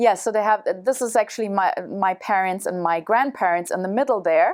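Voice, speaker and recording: A woman with a German accent talks at a fairly quick pace and a medium pitch. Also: ordinary pitch variation. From Germany. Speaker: travel show guest. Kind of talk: casual interview. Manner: halting, many fillers.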